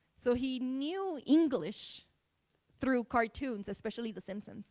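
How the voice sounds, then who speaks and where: Speaking with a slight Spanish accent at a moderate pace, a woman uses a high pitch and lively intonation, with big swings in loudness. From Tijuana, Mexico. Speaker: speaker on immigrant experience. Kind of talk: public talk. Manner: hesitant with many fillers.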